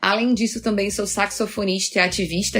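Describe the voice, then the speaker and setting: Fairly even intonation from a woman at a moderate pace, her pitch medium. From Rio de Janeiro, Brazil. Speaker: agile coach and author. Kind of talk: podcast interview.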